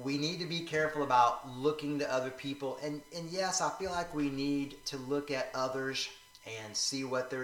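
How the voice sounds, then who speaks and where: In an American accent, a man speaks at a moderate pace and fairly high pitch with ordinary pitch variation, with audible room echo and noticeable background noise. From Northeast Florida. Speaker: vlogger. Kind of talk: casual vlog monologue. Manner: hesitant, many fillers.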